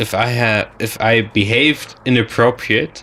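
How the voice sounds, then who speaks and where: A man with a German accent, very slow pace, medium pitch and fairly even intonation, over noticeable background noise. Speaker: gaming commentator. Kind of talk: casual chat. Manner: halting.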